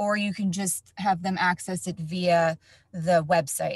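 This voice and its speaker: A woman with an American accent speaks at a fairly slow pace, her pitch medium and her intonation fairly even. It is an ordinary speaking voice, recorded with a dry, close sound and no echo. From New Jersey. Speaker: education facilitator, former teacher. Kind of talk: tutorial webinar.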